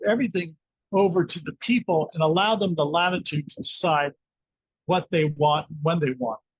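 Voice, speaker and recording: The sound is dry and close with no echo as a man speaks at a moderate pace and a high pitch. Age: 60s. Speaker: scalar energy researcher. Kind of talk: interview.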